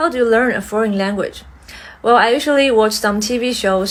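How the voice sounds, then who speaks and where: A woman with a Mandarin accent speaks at a fairly quick pace. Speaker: language learner. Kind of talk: exam practice answers.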